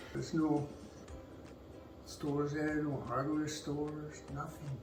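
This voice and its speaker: Over music in the background and audible room echo, a man with a fairly high pitch talks at a fairly slow pace in a monotone, flat intonation. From Canada, moved from Glasgow at nine. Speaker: interviewee, father of host. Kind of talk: casual chat. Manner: deadpan.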